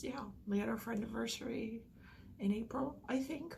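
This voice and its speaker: Noticeable background noise behind a woman's moderate-paced speech, fairly high in pitch and fairly even in intonation. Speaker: vlogger. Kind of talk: personal vlog.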